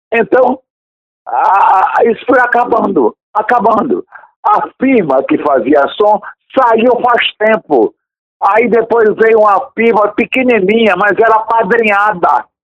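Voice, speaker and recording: A high-pitched man talks at a very slow pace with lively intonation and very even loudness. The sound is dry and close, with no echo. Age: 70s. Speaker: radio presenter. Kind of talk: interview.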